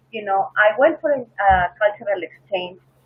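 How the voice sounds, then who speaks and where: A woman with a Peruvian accent speaks at a moderate pace with lively intonation. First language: Spanish. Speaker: flight attendant. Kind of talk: interview.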